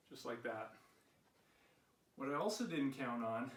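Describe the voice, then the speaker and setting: A man talks at a moderate pace with ordinary pitch variation. Audible room echo surrounds the voice. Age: 60s. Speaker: fitness vlogger. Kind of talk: personal vlog talk.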